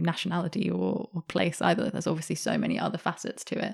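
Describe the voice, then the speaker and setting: A woman with a British accent talks at a fairly quick pace on a very clean recording with a silent background. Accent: sounds very British. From Australia, Sydney. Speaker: journalist and author. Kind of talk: interview conversation.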